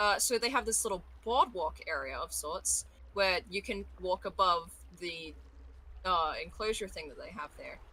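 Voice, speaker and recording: With an Australian accent, a woman speaks at a moderate pace. Her loudness swings widely. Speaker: voice actor. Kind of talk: casual chat.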